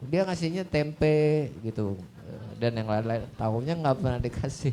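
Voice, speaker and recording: A man with a shrill, animated tone and lively intonation speaks at a moderate pace. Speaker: audio system expert. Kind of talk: Q&A talk on stage. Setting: stage with audience at showcase event.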